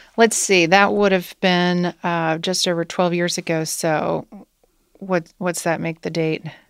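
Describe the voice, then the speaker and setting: Her speech carries a Midwestern American accent. The woman talks at a fairly slow pace. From US Midwest, Wilmington, Ohio. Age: 40s. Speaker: company CEO. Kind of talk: interview.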